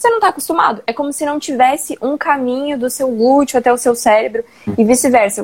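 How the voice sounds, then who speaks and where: A woman talks fairly quickly in a high-pitched voice. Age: 20s. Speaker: personal trainer. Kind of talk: casual live-stream chat.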